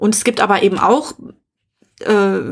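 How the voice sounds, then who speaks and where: A woman with an ordinary speaking voice talks at a moderate pace and a medium pitch. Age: middle-aged. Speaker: podcast co-host. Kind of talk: personal testimony.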